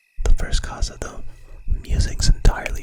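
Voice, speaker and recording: A man is whispering. He keeps a moderate pace. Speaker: ASMR content creator and virtual streamer. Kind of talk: whispered story reading. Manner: whispered, soft.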